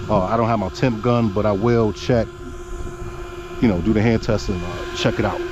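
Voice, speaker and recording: Fairly quick speech with long, frequent pauses and ordinary pitch variation, amid audible room echo and noticeable background noise. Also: man. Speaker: RC car hobbyist youtuber. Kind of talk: casual hobby vlog commentary.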